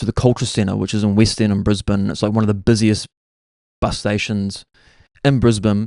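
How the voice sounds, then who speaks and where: At a moderate pace, a man with a New Zealand accent speaks in a fairly low, monotone, flat voice, with a dry, close sound with no echo and a quiet background. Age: 30s. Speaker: podcast host. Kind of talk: casual storytelling monologue. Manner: casual, filler-heavy.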